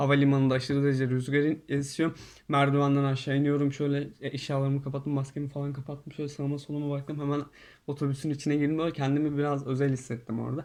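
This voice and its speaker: With a quiet background, a man speaks at a very fast pace. His pitch is fairly high and his intonation monotone and flat. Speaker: YouTuber. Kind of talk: casual storytelling monologue. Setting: in quarantine hotel room.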